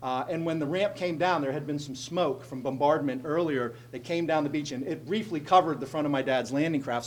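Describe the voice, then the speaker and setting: A man with a central Pennsylvania accent, fairly quick pace and ordinary pitch variation, over noticeable background noise. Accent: central Pennsylvania American. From central Pennsylvania, Altoona. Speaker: state legislator. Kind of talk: speech to a group. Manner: conversational storytelling.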